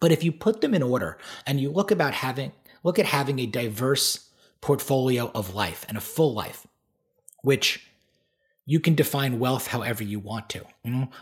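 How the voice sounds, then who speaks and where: A man speaks with a New York accent at a moderate pace, his medium-pitched voice somewhat breathy. His intonation is lively, broken by long, frequent pauses. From Long Island, New York. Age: 40s. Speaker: performance coach. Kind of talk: casual interview.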